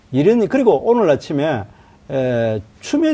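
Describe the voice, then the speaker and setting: Swinging very widely in pitch, a man speaks in a dark, mellow tone. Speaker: opposition party spokesperson and lawmaker. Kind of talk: political debate. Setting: studio. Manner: interrupts, combative.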